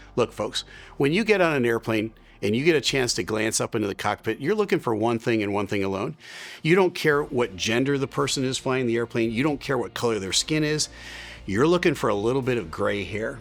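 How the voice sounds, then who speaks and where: Over a silent background in a very clean recording, a man talks at a fairly quick pace with lively intonation, medium pitch and an unremarkable speaking voice. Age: 60s. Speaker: airline pilot and video host. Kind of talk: opinion commentary.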